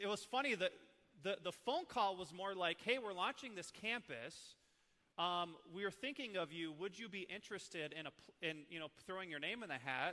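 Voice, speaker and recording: The voice is raised and projected, in an Upper Midwest accent. The tone is bright and sharp, the intonation lively, and the pace moderate. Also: man, high pitch for a man. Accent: Upper Midwest (Minnesota). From northern Minnesota, Iron Range. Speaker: church ministry leader, former youth pastor. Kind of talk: training talk to church staff. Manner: casual, animated.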